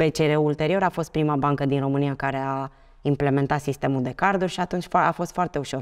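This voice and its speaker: Over a quiet background, the voice moves with ordinary pitch variation. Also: woman. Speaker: bank executive; podcast guest. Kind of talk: interview. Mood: relaxed, reminiscing. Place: studio. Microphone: lapel.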